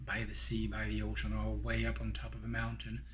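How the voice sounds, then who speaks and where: There is audible room echo around the speaker. A man talks at a moderate pace. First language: French. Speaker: Buddhist dharma teacher. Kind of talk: guided meditation; dharma teaching. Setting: recorded online teaching. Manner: hesitant, many fillers.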